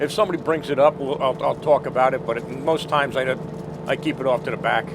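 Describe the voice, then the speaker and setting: Speaking at a very fast pace, a man with an American accent has a fairly high pitch. Noticeable background noise runs underneath. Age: 60s. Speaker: war veteran. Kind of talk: interview.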